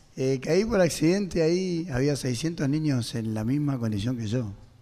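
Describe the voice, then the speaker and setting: With a dark, mellow tone and medium pitch, a man speaks at a fairly slow pace amid audible room echo. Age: 60s. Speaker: singer. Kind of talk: testimony. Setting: radio auditorium with audience.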